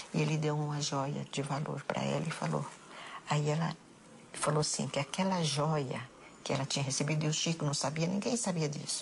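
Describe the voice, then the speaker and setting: Over noticeable background noise, a woman speaks with a very deep, low pitch, fairly even intonation and very even loudness. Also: moderate pace. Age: 70s. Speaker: bereaved mother interviewee. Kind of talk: emotional testimony interview.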